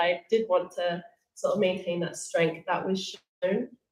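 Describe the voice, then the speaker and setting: In a British accent, a woman with a fairly low pitch speaks at a fairly slow pace. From England, Colombian background. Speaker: panellist, single mother. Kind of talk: panel discussion. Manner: hesitant, many fillers.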